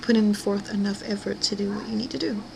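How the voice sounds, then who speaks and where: A woman speaks at a very fast pace. Noticeable background noise is present. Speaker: weight-loss vlogger. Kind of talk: personal video diary. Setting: at home. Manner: hesitant, many fillers.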